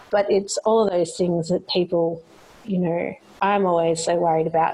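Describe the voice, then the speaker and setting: A woman speaks with an Australian accent in a fairly low pitch, her intonation fairly even, over noticeable background noise. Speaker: podcast host. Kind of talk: interview. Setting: remote call.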